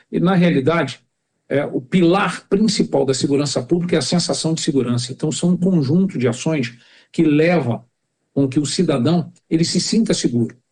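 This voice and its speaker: In a normal speaking voice, the speaker keeps a moderate pace, ordinary pitch variation and very even loudness. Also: man, fairly high pitch for a man. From Rio de Janeiro, Brazil (Jacarepaguá). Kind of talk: podcast interview.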